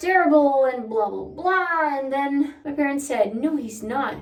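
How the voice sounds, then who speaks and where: With a Brazilian accent and high pitch, a woman speaks with lively intonation amid audible room echo. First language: Portuguese. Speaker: vlogger. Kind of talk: casual chat. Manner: casual, chatty.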